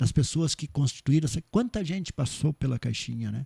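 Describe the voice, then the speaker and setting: A somewhat breathy man with a fairly high pitch, in a dry, close sound with no echo. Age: 60s. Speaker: cooperative bank president. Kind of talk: podcast interview. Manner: halting, many repetitions and fillers.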